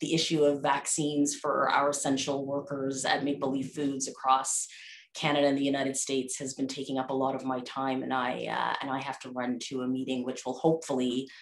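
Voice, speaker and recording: Flat, monotone intonation marks this woman's speech. Her pitch is very deep and low, and her pace is moderate. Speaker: presenter. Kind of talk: conference talk. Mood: warm, apologetic, laughing. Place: home room. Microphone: earbuds.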